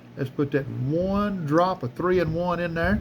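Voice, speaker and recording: A man speaks in a Southern US accent with a relaxed tone. His voice is somewhat breathy, with ordinary pitch variation. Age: 60s. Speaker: knife collector YouTuber. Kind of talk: casual tutorial. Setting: workshop. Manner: relaxed, halting with fillers.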